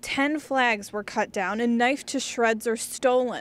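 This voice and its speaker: A woman with an ordinary speaking voice and an American accent talks at a fairly slow pace, her pitch fairly high. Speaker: television news reporter. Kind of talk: TV news reporter stand-up and voiceover narration.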